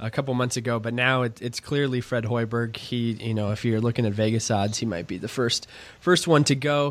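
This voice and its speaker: A normal speaking voice from a man, medium in pitch, fairly quick and fairly even in intonation. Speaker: podcast host. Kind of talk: casual sports talk.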